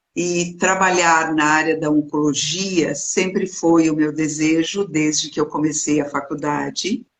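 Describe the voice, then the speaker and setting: A woman's very deep, low voice at a fairly slow pace, with fairly even intonation and hardly any pauses. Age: 60s. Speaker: clinical psychologist. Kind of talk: interview.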